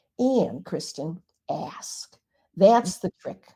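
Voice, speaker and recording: A woman's dark, mellow voice is somewhat breathy, with ordinary pitch variation. She speaks at a very slow pace. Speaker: Reiki master and author. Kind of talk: interview.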